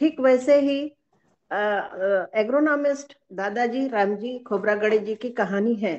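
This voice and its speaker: This woman's voice sits fairly high in pitch, with ordinary variation in its melody. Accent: Marathi. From Maharashtra (Brahmapuri area, Vidarbha). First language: Marathi (speaking Hindi). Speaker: webinar participant, company member. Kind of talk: prepared talk at online webinar. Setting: online webinar. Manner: halting, with fillers.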